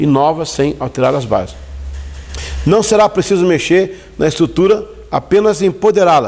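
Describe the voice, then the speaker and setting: The delivery has lively intonation and a moderate pace, broken by long, frequent pauses. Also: man, high pitch for a man. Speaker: church leadership teacher. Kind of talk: lecture. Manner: halting.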